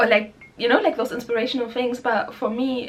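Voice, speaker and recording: There is noticeable background noise behind this woman. She has a German accent, a high pitch and a fairly quick pace. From Germany. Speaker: spiritual musician and vlogger. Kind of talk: casual vlog talk. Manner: hesitant, filler-heavy.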